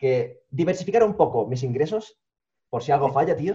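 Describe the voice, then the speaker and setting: Somewhat breathy, a man speaks in a dark, mellow tone with very wide pitch swings. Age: 30s. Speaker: youtuber. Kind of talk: interview.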